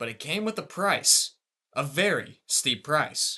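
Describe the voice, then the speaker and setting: A man projects a raised voice with a high pitch and a bright, sharp tone. The background is quiet. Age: 20s. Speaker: sports broadcast journalism student. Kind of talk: sports feature voiceover narration.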